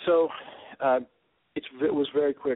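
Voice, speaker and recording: A man talks with a fairly high pitch. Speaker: rock band musician. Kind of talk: live phone interview. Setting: phone call.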